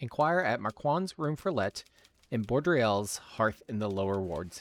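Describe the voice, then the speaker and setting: A man speaks in a plain, everyday voice, fairly low in pitch, at a moderate pace. The recording is very clean with a silent background and a dry, close sound with no echo. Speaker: game master and narrator. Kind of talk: fantasy narration reading, dramatic storytelling of scripted lore. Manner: casual and friendly in the intro.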